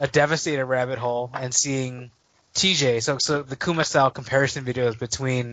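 This man has an ordinary speaking voice with a fairly high pitch. He talks at a fairly quick pace. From Chicago, US Midwest. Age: 30s. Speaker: toy collector guest. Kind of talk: casual chat.

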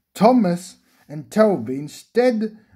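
In an unforced reading voice, the intonation stays lively against a quiet background.

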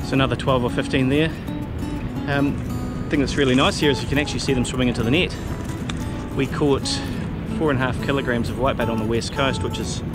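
Over loud background music, the speaker talks at a very fast pace in a dry sound with no echo. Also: man. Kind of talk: casual vlog chat. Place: waterside. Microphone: phone near.

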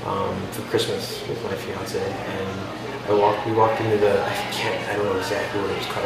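A man with an American accent talks at a very fast pace over loud background noise, with audible room echo. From South Central Pennsylvania. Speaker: interviewee, journalism background. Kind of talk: casual chat. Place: cafe. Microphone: camera far.

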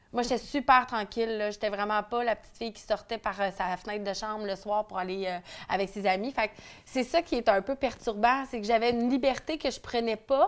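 Speaking with a Quebec accent, a woman talks at a fairly quick pace with a fairly high pitch. Her pitch variation is ordinary, and her loudness swings widely. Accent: Québécois French. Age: 30s. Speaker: entrepreneur; interviewee. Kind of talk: interview. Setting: at the host's home. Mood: candid, personal, animated. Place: home room.

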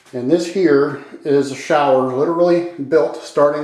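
At a fairly slow pace, a man speaks with fairly even intonation against a quiet background with audible room echo. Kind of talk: casual home tour commentary. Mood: proud, mildly defensive. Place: bathroom.

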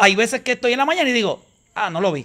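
A man's raised, projected voice, bright and sharp, with very wide pitch swings over a quiet background. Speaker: podcast guest. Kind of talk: casual chat. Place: garden. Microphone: studio mic.

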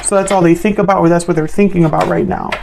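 A woman is speaking. Noticeable background noise runs beneath her voice. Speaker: tarot reader. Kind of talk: tarot reading commentary. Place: home room.

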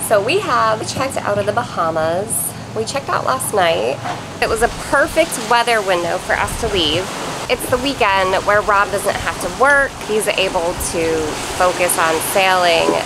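Noticeable background noise sits behind this woman. She talks at a moderate pace. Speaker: sailing vlogger. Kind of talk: casual vlog chat. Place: boat. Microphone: phone near.

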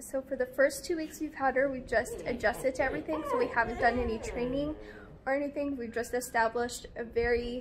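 A woman speaks at a high pitch. Light background noise is audible. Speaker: vlogger. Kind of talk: casual vlog chat. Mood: cheerful, amused. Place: garden. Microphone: phone near.

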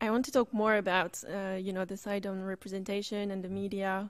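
Against a quiet background, a woman speaks at a medium pitch in a monotone, flat intonation. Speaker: student event moderator. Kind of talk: moderated panel. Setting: stage with audience. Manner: hesitant, many fillers. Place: classroom. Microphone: podium.

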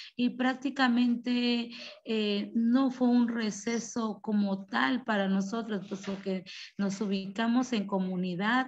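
A woman talks at a very slow pace in a somewhat breathy voice. Her fairly high pitch holds a fairly even intonation. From La Chinantla, Oaxaca, Mexico; Oaxaca, Mexico. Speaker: rural school teacher and principal; teacher presenting school project. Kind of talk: presentation. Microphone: video call.

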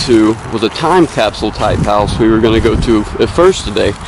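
Dry sound with no echo over light background noise. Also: man. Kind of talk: casual vlog commentary. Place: open country. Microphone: camera far.

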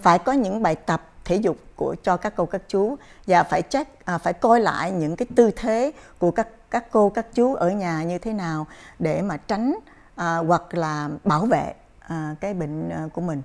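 Here a woman speaks with a fairly low pitch. Her pace is fairly slow. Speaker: chiropractor. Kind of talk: interview on a health program. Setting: studio. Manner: halting, many fillers. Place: studio. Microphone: lapel.

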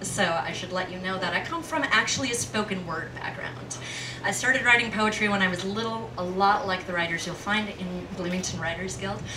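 Over noticeable background noise, a woman speaks fairly quickly with lively intonation. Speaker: poet performer. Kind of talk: spoken word introduction to audience. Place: stage.

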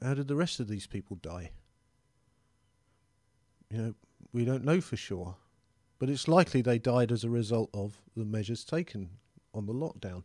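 Against a quiet background with a dry sound and no echo, a man with a dark, mellow tone and medium pitch talks at a moderate pace with lively intonation and long, frequent pauses. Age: 50s. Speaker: member of the public giving his views. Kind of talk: personal opinion monologue. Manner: hesitant, conversational. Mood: earnest, concerned, reflective. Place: home room. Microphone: studio mic.

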